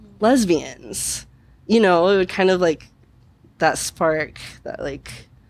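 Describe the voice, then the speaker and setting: The voice moves at a very slow pace with vocal fry and ordinary pitch variation on a very clean recording with a silent background. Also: woman. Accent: American. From Missouri, Kansas City. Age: 20s. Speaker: bartender. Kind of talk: interview. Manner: halting.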